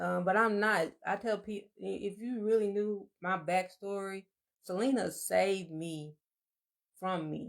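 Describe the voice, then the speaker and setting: This woman talks at a fairly slow pace. Her medium pitch holds fairly even intonation. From Alabama. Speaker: podcast co-host. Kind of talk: casual chat. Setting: livestream.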